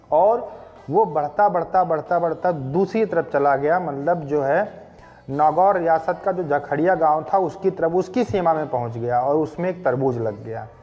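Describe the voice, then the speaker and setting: A man's fairly high voice with ordinary pitch variation, music in the background. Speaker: voice-over artist. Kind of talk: fact video narration. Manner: casual, conversational.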